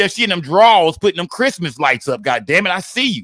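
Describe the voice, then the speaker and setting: Very fast and raised in a projected voice, a man with a high pitch and a bright, sharp tone swings widely in pitch in a very clean recording with a silent background. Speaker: live streamer. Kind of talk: casual live stream chat.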